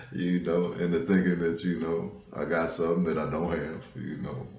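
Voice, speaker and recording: In an American accent, a man with a very deep, low pitch speaks at a moderate pace, with audible room echo and noticeable background noise. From US West Coast, South Central Los Angeles. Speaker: spiritual vlogger. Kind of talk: casual monologue on spirituality. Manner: conversational, frequent fillers.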